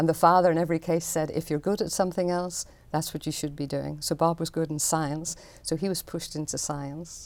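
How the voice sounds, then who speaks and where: A woman with a Northern Irish accent and vocal fry, fairly quick and monotone, with flat intonation, on a very clean recording with a silent background. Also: fairly low pitch for a woman. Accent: Northern Irish (Belfast). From Northern Ireland, Belfast. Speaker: artist. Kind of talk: interview.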